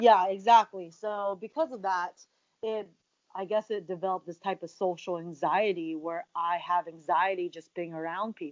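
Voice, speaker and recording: A woman's ordinary speaking voice with an American accent, medium pitch, fairly even intonation, big swings in loudness, and a moderate pace. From USA. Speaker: professional wrestler. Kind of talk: interview conversation.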